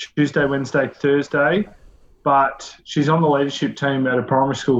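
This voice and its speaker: This man has an Australian accent. His voice sits fairly high in pitch. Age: 30s. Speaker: community organisation director and father. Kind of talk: interview, personal storytelling.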